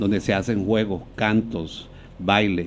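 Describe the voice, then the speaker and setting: A man speaks with a Colombian Caribbean accent. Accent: Colombian Caribbean (costeño) Spanish. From Colombian Caribbean coast, Barranquilla (born Venezuela, moved at 10). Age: 60s. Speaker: dancer, choreographer and dance teacher. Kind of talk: podcast interview.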